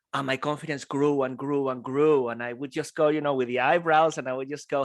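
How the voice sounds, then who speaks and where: A fairly quick pace in a Venezuelan accent. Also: man. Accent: Spanish-speaking, Venezuelan. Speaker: public speaker. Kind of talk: live keynote talk to audience. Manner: energetic, playful.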